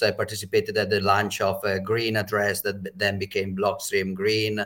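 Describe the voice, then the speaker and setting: This very clean recording with a silent background features a man with an Italian accent. He speaks in a fairly low pitch at a moderate pace. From Italy. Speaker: bitcoin educator. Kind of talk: panel discussion.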